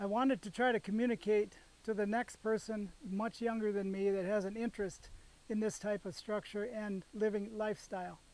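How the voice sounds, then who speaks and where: A man's high-pitched voice at a moderate pace, with monotone, flat intonation. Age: 70s. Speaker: engineer and homestead builder. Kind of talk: explanatory video presentation. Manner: halting.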